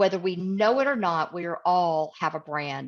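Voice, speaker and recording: Spoken at a moderate pace with an American accent, this is a plain, everyday voice. The pitch moves in an ordinary way over a quiet background. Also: woman. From US South, East Tennessee. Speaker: communication coach, guest speaker. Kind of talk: webinar talk. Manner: direct.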